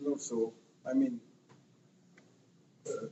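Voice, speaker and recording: With a French accent, a man talks at a fairly slow pace. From France. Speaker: panel speaker at activist conference. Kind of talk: conference talk. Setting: conference with audience. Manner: halting, many fillers.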